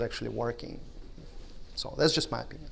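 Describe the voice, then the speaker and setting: A man's voice comes with audible room echo. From Russia. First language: Russian. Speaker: conference speaker. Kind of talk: conference talk. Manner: halting.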